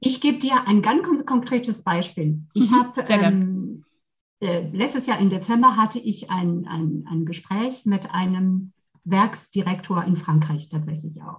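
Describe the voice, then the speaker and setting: At a fairly slow pace, a woman with a somewhat breathy, medium-pitched voice speaks with lively intonation. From France, Versailles near Paris. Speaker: leadership coach and trainer. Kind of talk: casual interview chat.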